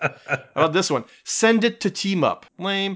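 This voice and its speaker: A man is speaking. His pace is moderate. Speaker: podcast host. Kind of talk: casual chat about comics.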